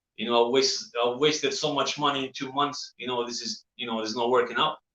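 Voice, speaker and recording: A man rattles along at a very fast pace, his medium-pitched voice bright and sharp. His pitch varies in an ordinary way. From Albania. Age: 30s. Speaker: actor. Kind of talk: interview. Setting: live show. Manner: halting.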